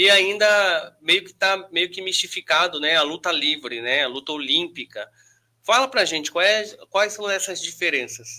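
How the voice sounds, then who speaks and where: A man's high-pitched, raised and projected voice, bright and sharp, with lively intonation, big swings in loudness and a fairly slow pace. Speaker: podcast host. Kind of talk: interview.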